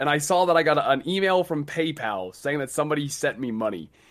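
In a very clean recording with a silent background, a man speaks in an unremarkable speaking voice. His pitch is fairly high, and his intonation is lively. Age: 20s. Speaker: gaming content creator. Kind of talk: casual chat.

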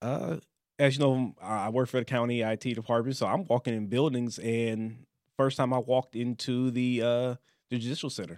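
A normal speaking voice with an American accent, fairly even intonation and a moderate pace, on a very clean recording with a silent background. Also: man, medium pitch for a man. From Louisiana, near Baton Rouge; later Detroit area. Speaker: county IT worker, podcast guest. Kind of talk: casual discussion.

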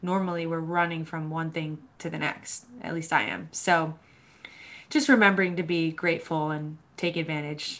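At a moderate pace and with fairly even intonation, an unremarkable speaking voice talks with an American accent. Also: woman, fairly low pitch for a woman. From US Northeast, Boston, Massachusetts. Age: 20s. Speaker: mental health advocate. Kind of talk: casual interview chat.

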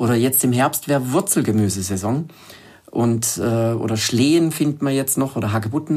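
A man with an ordinary speaking voice talks at a moderate pace with ordinary pitch variation. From southern Germany, Lake Constance. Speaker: wild plant expert and author. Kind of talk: interview.

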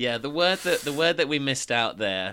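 Recorded very cleanly against a silent background, a man with an English accent speaks in a bright, sharp tone with lively intonation. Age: 20s. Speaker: podcast co-host and local radio worker. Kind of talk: casual chat.

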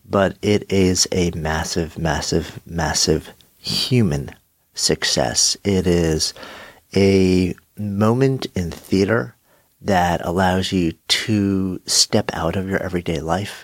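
A man with a low pitch speaks at a slow pace. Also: ordinary pitch variation.

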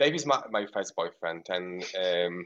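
A man with a Polish accent. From rural Poland, near Ukraine. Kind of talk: casual radio interview.

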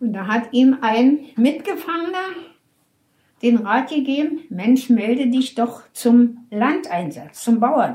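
At a very slow pace, a woman speaks with a high pitch and lively intonation. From Berlin. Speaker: elderly woman telling her life story. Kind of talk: life story interview. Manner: halting, with hesitations.

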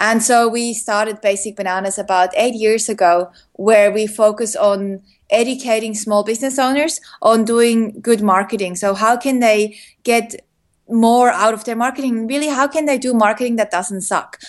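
A woman uses an ordinary speaking voice, fairly high in pitch, with ordinary pitch variation at a moderate pace. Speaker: entrepreneur, former advertising worker. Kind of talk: casual interview chat.

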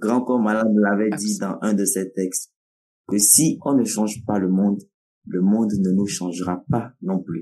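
In a Togolese accent, a man talks at a fairly slow pace with a dark, mellow tone, fairly low pitch, and ordinary pitch variation. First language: Nawdm (speaking French). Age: 20s. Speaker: slam poet, storyteller, festival director. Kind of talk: interview.

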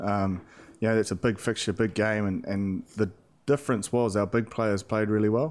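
The speech moves at a moderate speed. Its intonation is fairly even. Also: man, fairly low pitch for a man. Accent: New Zealand. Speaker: professional rugby player. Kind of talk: casual chat.

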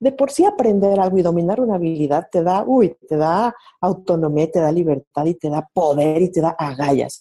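Her tone dark and mellow, a woman with a fairly low pitch and lively intonation speaks at a moderate pace with hardly any pauses. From Mexico City. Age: 30s. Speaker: marketer and coach. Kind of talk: casual interview. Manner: animated.

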